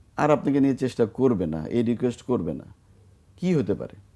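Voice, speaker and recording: A dark, mellow tone from a man at medium pitch. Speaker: bank chairman. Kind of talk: interview. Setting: studio.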